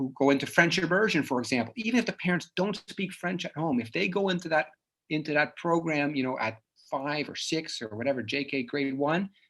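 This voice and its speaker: At a moderate pace, a man speaks fairly high in pitch with ordinary pitch variation. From Netherlands (Dutch-speaking), moved to Canada at nine. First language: Dutch. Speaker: psychologist. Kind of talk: lecture. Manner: casual, with many fillers and restarts.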